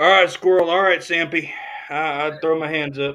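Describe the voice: With a bright, sharp tone, a man speaks at a fairly high pitch and with fairly even intonation. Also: moderate pace.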